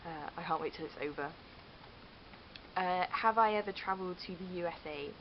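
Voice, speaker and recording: Spoken with a West Country accent at a moderate pace and fairly even intonation, the voice carries over noticeable background noise. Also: woman. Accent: West Country, rhotic. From Cheltenham, southwest England. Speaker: vlogger. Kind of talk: casual vlog. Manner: hesitant, many fillers. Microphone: digital camera mic, poor sound.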